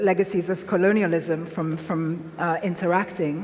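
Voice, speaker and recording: Against noticeable background noise, a woman is talking. Her pace is moderate. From Nigeria, Lagos. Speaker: author. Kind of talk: public talk Q&A.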